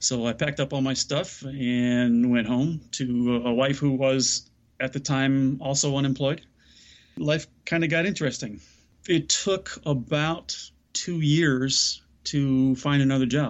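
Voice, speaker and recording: An unremarkable speaking voice from a man with an American accent, medium in pitch with ordinary variation, fairly slow, and very even in loudness. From US Midwest, south side of Chicago. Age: middle-aged. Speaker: mindset coach and speaker. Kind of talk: interview conversation.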